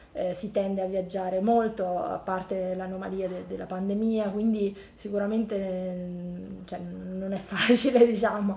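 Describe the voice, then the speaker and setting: A woman's medium-pitched voice at a fairly slow pace, monotone with flat intonation, big swings in loudness, hardly any pauses and audible room echo. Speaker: engineering professor. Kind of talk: interview.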